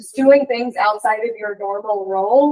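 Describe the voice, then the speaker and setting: The recording of this woman is dry and close, with no echo. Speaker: sales manager. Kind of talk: interactive workshop discussion. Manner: loud; energetic.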